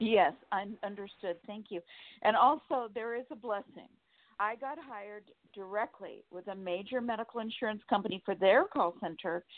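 This woman has an American accent and an unremarkable speaking voice, medium in pitch with ordinary variation. She keeps a moderate pace, with big swings in loudness. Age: 60s. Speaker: caller. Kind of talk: casual chat.

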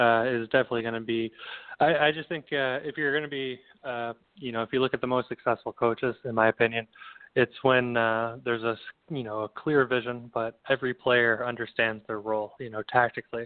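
This man has an unremarkable speaking voice pitched at a medium level. He talks at a fairly quick pace with fairly even intonation. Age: 30s. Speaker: former pro soccer player and coach. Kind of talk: casual interview.

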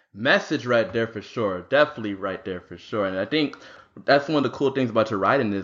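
A man speaks with ordinary pitch variation. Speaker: podcast co-host. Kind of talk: casual chat. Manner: enthusiastic.

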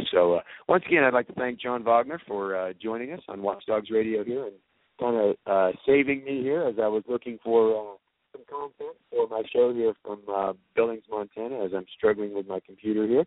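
With an American accent, a man talks at a fairly quick pace in a medium pitch, showing ordinary pitch variation and big swings in loudness. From Georgia, US South. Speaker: radio host. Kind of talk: live radio interview. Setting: convention venue. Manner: hesitant, filler-heavy.

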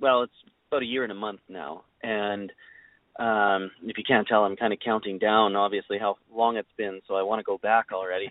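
A man's fairly low pitch with a Canadian Prairie accent. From Saskatchewan, Canada. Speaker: country singer-songwriter. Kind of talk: interview. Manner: hesitant, repeats words.

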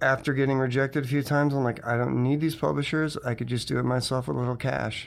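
A man with an American accent has a plain, everyday voice at medium pitch. He talks at a fairly quick pace with fairly even intonation. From Connecticut. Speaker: comics publisher and animator. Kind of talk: interview.

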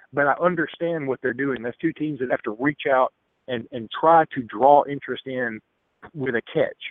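This man speaks with an Alabama accent at a moderate pace. His pitch is fairly high, with ordinary pitch variation. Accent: Alabama Southern US. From Alexander City, Alabama. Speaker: sports columnist and radio host. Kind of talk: call-in sports talk. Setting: phone call.

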